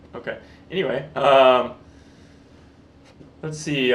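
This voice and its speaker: At medium pitch and a fairly slow pace, a man speaks in a deadpan tone with fairly even intonation, against noticeable background noise. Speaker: actor, comedian, beatmaker. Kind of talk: interview answer. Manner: deadpan, joking.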